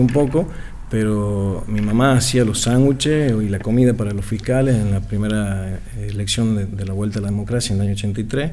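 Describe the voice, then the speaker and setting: There is audible room echo as a man with a Tucumán accent talks at a fairly quick pace. His pitch is medium, with ordinary variation. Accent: Tucumán Argentine Spanish. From Argentina, Tucumán. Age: 40s. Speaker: political activist. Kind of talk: radio interview.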